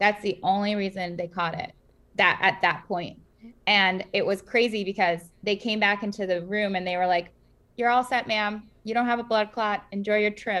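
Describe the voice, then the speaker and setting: Here is a woman with an American accent and a bright, sharp tone at medium pitch. Her pace is moderate and her intonation fairly even. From US Northeast, Queens, New York. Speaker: startup founder and cancer survivor. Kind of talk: interview. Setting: video call.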